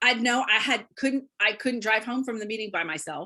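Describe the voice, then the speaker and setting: A woman's fairly high voice, bright, sharp and animated, over a quiet background. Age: 60s. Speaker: beauty consultant, guest sharing her story. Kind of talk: interview testimony.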